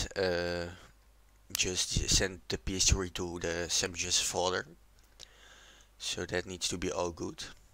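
With a non-native accent, a man speaks very slowly in a very deep, low pitch, leaving long, frequent pauses. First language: not English. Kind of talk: casual tutorial voiceover.

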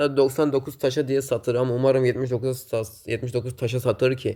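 The recording is very clean, with a silent background. A man speaks at a medium pitch in a dark, mellow tone. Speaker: gaming YouTuber. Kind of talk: gameplay commentary. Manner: casual, filler-heavy.

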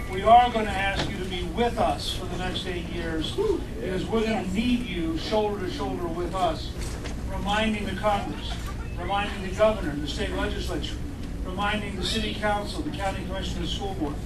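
Loud background noise sits under speech delivered at a fairly quick pace. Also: man. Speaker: candidate. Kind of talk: campaign speech. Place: cafe.

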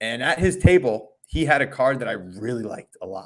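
A man with an American accent speaks with very wide pitch swings against a quiet background. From Long Island, New York; New York. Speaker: math teacher and sports card podcaster; math teacher, sports card podcaster. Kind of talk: casual chat. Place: home room.

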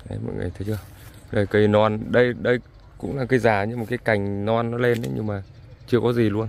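In a dry sound with no echo, a man speaks with a fairly low pitch and fairly even intonation. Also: fairly quick pace. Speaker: farmer vlogger. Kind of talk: casual vlog walking tour. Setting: outdoors in fields. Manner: conversational, somewhat halting with fillers. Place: farm machine. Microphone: phone near.

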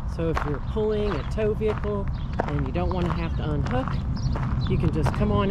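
Loud background noise surrounds a man's voice. No echo colors the dry sound. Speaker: RV traveler reviewing campground. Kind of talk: casual vlog chat. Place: street. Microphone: phone near.

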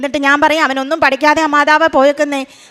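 The delivery is monotone, with flat intonation. Noticeable background noise is present. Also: woman. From Kerala, Idukki district. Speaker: school employee giving testimony. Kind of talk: testimony. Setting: church altar before congregation.

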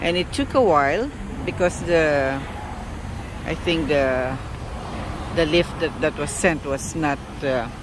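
Noticeable background noise sits under a dry sound with no echo as a man speaks at a very slow pace with ordinary pitch variation. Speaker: van owner vlogger. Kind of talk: casual vlog chat. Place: street. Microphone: phone near.

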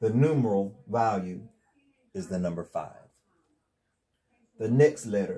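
At a very slow pace, a man talks with a Southern US accent and ordinary pitch variation. His tone is dark and mellow. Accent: Southern US country. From North Carolina, USA. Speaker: religious teacher. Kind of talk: casual instructional talk to camera. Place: home room. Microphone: lapel.

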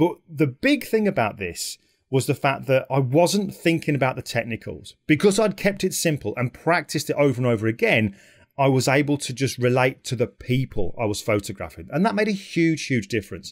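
Against a quiet background, a man speaks at a fairly quick pace. His pitch swings very widely. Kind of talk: talk to camera about his work. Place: home room. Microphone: studio mic.

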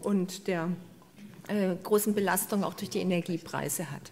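A woman speaks at a moderate pace. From Swabian Alb, southern Germany; Baden-Württemberg, Germany. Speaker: biodiversity researcher and professor; professor. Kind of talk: lecture. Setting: stage with audience. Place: hall. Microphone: handheld.

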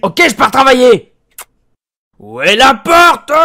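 Raised and projected, a man's voice sits at an extremely high pitch for a man, with lively intonation and a fairly slow pace. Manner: cheerful, clueless, loud.

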